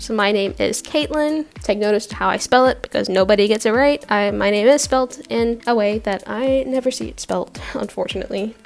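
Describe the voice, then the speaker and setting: With music in the background, a woman with an American accent speaks at a moderate pace. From Norway. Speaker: artist and video creator. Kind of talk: casual vlog chat. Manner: talkative, rambling pace.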